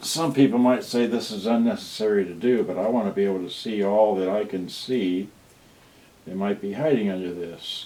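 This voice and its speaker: At a moderate pace, the voice comes across soft-spoken. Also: man. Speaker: electronics repair hobbyist streamer. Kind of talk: live repair stream. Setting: home livestream. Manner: halting.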